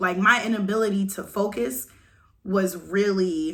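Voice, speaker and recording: Loud and animated, a woman speaks at a medium pitch in a bright, sharp tone, on a very clean recording with a silent background. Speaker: vlogger. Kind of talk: casual rant to camera.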